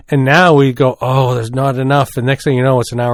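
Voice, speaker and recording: A man at a medium pitch talks at a very fast pace. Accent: Maritime Canadian. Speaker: podcast co-host. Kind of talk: casual chat.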